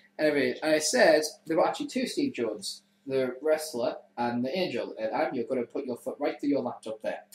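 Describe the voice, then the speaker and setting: This man has an English accent. He talks at a fairly quick pace. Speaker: web show host. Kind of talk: casual chat. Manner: animated.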